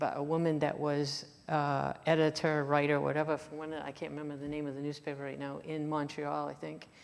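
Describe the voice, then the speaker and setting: A woman with a French accent and a very deep, low pitch speaks at a moderate pace amid audible room echo. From Maine, Franco-American community in Waterville. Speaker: author and lecturer. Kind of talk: Q&A after a lecture. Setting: lecture in a church hall with audience. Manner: halting, many fillers and restarts.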